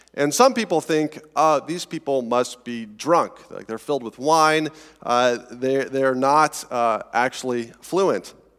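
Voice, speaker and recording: With music in the background, a man with a fairly high pitch talks at a very slow pace with hardly any pauses, ordinary pitch variation and big swings in loudness. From Colorado, US. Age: 30s. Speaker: pastor. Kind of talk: sermon. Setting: church. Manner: halting, filler words.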